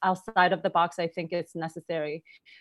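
This is a woman speaking. She has a Korean accent. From South Korea. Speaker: holistic health practitioner. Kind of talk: interview.

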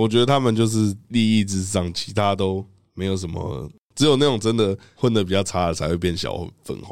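Moving at a fairly quick pace, a man talks in a fairly low pitch with ordinary pitch variation. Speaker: rapper. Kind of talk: casual chat.

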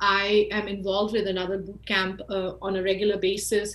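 A woman with an Indian accent, somewhat breathy and fairly high-pitched, at a fairly slow pace. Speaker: marketing expert. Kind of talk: interview.

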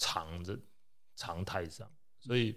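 Audible room echo surrounds a man who talks at a fairly slow pace with lively intonation. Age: middle-aged. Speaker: anesthesiologist. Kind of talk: casual chat.

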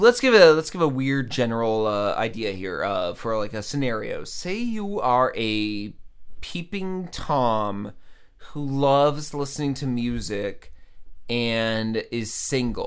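Delivered at a very slow pace with lively intonation, the speech comes in an American accent. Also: man, medium pitch for a man. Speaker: comedy podcast co-host. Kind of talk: casual comedic chat.

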